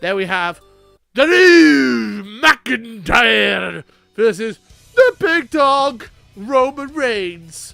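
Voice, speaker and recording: Faint music plays in the background. Someone uses a put-on character voice at a very slow pace. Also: man, high pitch for a man. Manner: casual, goofy.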